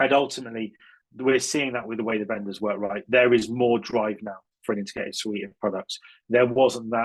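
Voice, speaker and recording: This man's voice sits at medium pitch with fairly even intonation. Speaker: cybersecurity consultant. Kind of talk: conference talk. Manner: fast.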